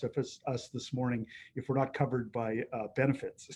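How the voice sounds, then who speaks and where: A man speaks in a flat monotone at medium pitch with a Canadian accent. His tone is dark and mellow, and his pace is moderate. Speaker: mountain guide. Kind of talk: presentation talk. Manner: hesitant, many fillers.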